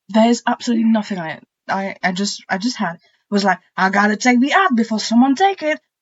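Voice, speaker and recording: A woman speaks at a very fast pace with lively intonation. Her voice is somewhat breathy. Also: fairly high pitch for a woman. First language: not English. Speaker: podcast co-host. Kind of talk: casual chat.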